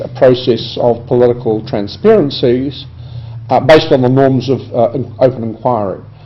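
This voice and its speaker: Somewhat breathy, a man with a medium-pitched voice and ordinary pitch variation talks at a fairly slow pace amid audible room echo. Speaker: professor. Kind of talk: recorded conference address. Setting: video conference. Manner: hesitant, many fillers.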